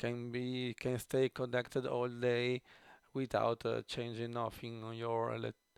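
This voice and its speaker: Here a man talks at a fairly slow pace in an Italian accent. His medium-pitched voice sounds dry and close, with no echo. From Italy. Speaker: tech YouTuber. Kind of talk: unboxing tutorial. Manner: halting, many fillers.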